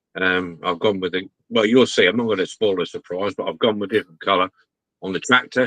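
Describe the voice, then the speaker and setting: Fairly quick and bright, sharp in tone, a man with an English accent speaks at a fairly low pitch in a dry, close sound with no echo. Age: 60s. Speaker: model restorer. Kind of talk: casual chat.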